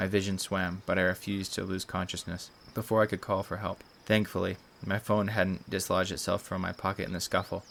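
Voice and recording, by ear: A passage is read aloud in a natural voice.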